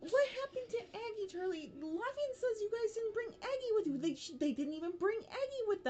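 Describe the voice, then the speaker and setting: Over clear background noise, a squeaky put-on character voice at an extremely high pitch runs at a fairly quick pace with hardly any pauses. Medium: actual play. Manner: fussing, scolding.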